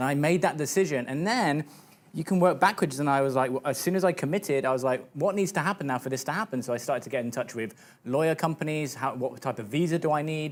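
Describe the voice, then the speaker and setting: A man speaks at a very fast clip. His voice sits fairly high. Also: ordinary pitch variation. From UK. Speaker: fitness business coach. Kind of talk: TV interview. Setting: TV studio.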